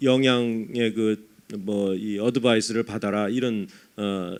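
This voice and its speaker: Ordinary pitch variation runs through a man's medium-pitched voice. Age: 50s. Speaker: professor. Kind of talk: lecture. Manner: halting, many fillers.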